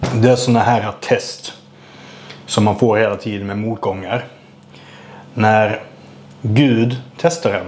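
Fairly slow delivery from a man. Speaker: vlogger. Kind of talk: casual vlog chat. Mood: frustrated, venting about bad luck. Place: kitchen. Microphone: lapel.

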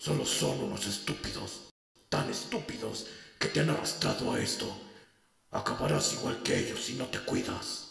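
A man with a very deep, low pitch speaks at a moderate pace with fairly even intonation. A strong echo surrounds his voice. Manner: bitter, contemptuous.

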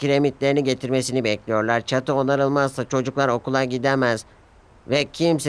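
Fairly even intonation in a natural reading voice

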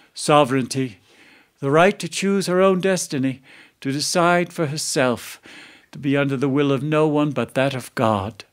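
The speaker has an American accent and an animated, dramatic tone at a moderate pace. Pitch variation is ordinary, and the background is quiet. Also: man. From Philadelphia. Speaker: storyteller. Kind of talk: storytelling performance, live telling of a medieval legend. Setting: studio. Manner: animated, dramatic character voices, shifting from narrator to archaic courtly speech; vivid, measured storyteller pacing with relish for grotesque detail. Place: studio.

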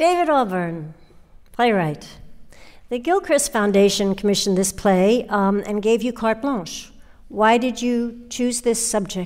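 Heard over a silent background in a very clean recording, a woman uses an ordinary speaking voice, fairly high in pitch, with lively intonation at a fairly slow pace. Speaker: podcast host. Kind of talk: scripted narration.

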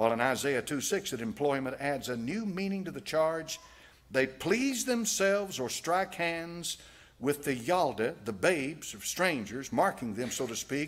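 Speaking in a Southern US accent, a man goes at a fairly slow pace with very wide pitch swings. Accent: American Southern. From United States. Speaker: preacher, pastor. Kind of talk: sermon preached to a congregation. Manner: reading aloud from a text. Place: church. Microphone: podium.

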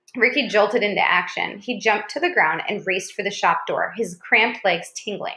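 What you hear is plain reading aloud.

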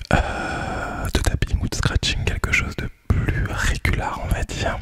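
A man speaks softly. Loud background noise runs behind him. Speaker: ASMR creator. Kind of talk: casual soft-spoken vlog chat. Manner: soft close-mic ASMR murmur. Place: home room. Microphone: studio mic.

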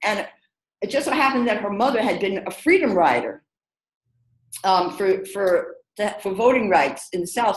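With a New York accent and lively intonation, the speaker goes at a moderate pace with long, frequent pauses, in audible room echo over a quiet background. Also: woman, medium pitch for a woman. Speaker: diversity consultant. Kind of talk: webinar discussion. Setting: video call. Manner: animated. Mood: reflective, storytelling. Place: home room. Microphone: video call.

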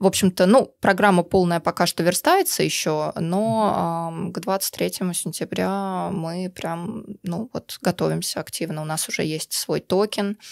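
Pitched fairly low, a woman talks at a very slow pace. Her pitch varies in an ordinary way. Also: very clean recording, silent background. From Russia. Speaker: activist, community member. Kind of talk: casual interview chat. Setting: studio.

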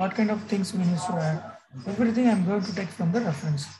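Speech at a fairly quick pace with noticeable background noise underneath. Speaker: software instructor. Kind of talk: tutorial. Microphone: video call.

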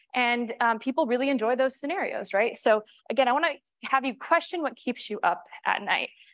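In a dry recording with no echo and a quiet background, a woman with an American accent speaks at a high pitch and fairly quick pace with ordinary pitch variation. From New York. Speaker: cybersecurity strategist; conference presenter. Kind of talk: conference talk. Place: stage.

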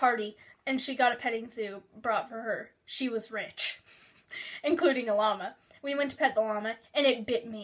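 The clip carries a natural reading voice. That voice does the reading.

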